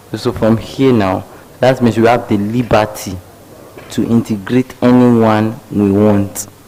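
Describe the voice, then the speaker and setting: At a fairly slow pace, a man talks in monotone, flat intonation at medium pitch. Noticeable background noise sits behind him. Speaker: math teacher. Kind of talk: lecture. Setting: live stream. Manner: interactive call-and-response questioning.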